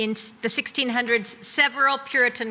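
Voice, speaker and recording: A woman with an American accent, a plain, everyday voice, ordinary pitch variation and a fairly quick pace. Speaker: university leader. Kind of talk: speech.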